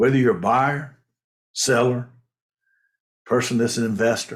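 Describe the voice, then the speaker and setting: The man's voice has vocal fry. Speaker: mortgage and real estate advisor. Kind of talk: casual talk to camera. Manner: halting.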